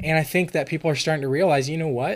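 A plain, everyday voice from a man, fairly quick in pace, with fairly even intonation. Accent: American. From California. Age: 20s. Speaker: podcast guest. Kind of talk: casual interview.

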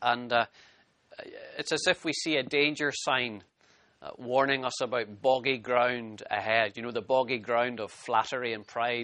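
With a Scottish accent, a man talks at a moderate pace and medium pitch, his intonation fairly even. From Scotland. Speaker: pastor. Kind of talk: sermon.

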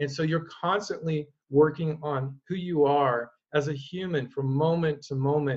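A man with an American accent speaks at a fairly slow pace in a fairly high pitch. His voice is somewhat breathy, with fairly even intonation. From Oregon, US. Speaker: mental performance coach and former pro swimmer. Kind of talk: interview conversation.

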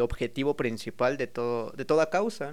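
Fairly slow speech from a man with a Mexican accent, medium in pitch, on a very clean recording with a silent background. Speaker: freestyle rapper. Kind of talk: casual chat.

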